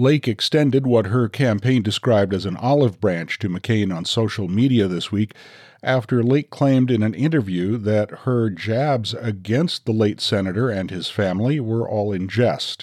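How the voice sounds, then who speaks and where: A man talks at a moderate pace in an ordinary speaking voice, his pitch medium with ordinary variation. He barely pauses, and the background stays quiet. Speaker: news podcast host. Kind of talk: news reading.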